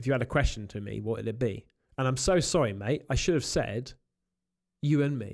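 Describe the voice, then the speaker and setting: A man's voice with vocal fry, fairly quick pace and ordinary pitch variation, over a quiet background. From England. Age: 40s. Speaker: YouTube paranormal creator. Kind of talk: casual chat. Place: studio. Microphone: studio mic.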